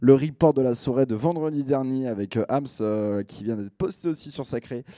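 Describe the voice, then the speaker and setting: In a very clean recording with a silent background, a man's dark, mellow tone and lively intonation come through with a dry, close sound and no echo. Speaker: radio host. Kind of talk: radio DJ show. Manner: casual, relaxed.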